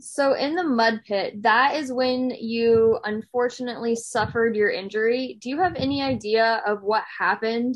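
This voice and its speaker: A woman with a plain, everyday voice speaks at a moderate pace with hardly any pauses, her fairly high pitch showing ordinary variation. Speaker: podcast host. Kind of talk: casual interview chat.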